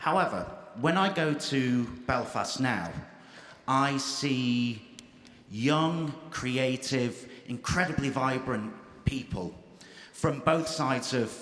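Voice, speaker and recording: In a room with audible echo, a man speaks very slowly at a medium pitch, with very even loudness, ordinary pitch variation, and long, frequent pauses. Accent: English. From England, Irish family. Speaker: audience member asking a question. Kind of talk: audience question at panel debate.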